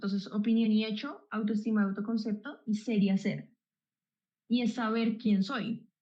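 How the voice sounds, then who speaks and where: Somewhat breathy, a woman with a Colombian accent speaks at a moderate pace with a fairly high pitch and a dark, mellow tone. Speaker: psychologist. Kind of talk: explanatory chat.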